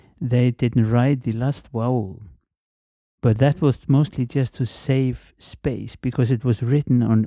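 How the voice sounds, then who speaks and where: Speaking at a fairly slow pace, a man has a dark, mellow tone at medium pitch with ordinary pitch variation, in a dry, close sound with no echo. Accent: Icelandic. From Iceland, Reykjavík. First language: Icelandic. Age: 50s. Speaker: guest speaker, language informant. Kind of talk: casual interview. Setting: office. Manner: halting, many repetitions.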